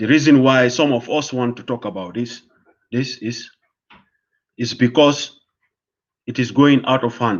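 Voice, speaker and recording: In a West African accent, a man speaks at a medium pitch with fairly even intonation. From Gambia. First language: Fula. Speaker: online commentator. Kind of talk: live stream monologue. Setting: live stream.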